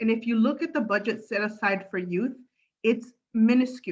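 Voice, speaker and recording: Here a woman is talking. Her fairly high pitch moves with fairly even intonation. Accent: Spanish. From Los Angeles, San Fernando Valley. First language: Spanish. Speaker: political candidate. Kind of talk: candidate forum speech. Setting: video call. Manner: halting.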